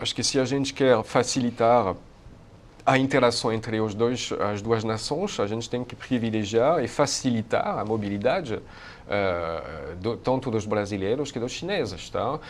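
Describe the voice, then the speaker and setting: In a French accent, a man talks at a moderate pace. His pitch is medium, with ordinary variation. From France. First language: French (speaking Portuguese). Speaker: university researcher on Asia. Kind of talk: interview. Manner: hesitant, many fillers.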